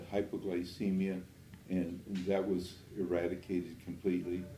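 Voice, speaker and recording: A man speaks at a very deep, low pitch with a dark, mellow tone. His intonation is monotone and flat, at a moderate pace, with audible room echo. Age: 80s+. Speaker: natural health doctor. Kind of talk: interview. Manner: hesitant, with frequent fillers.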